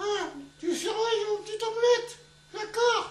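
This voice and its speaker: In a cartoonish character voice with extremely high pitch, the lines come at a moderate pace with fairly even intonation and a slight echo. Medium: puppet.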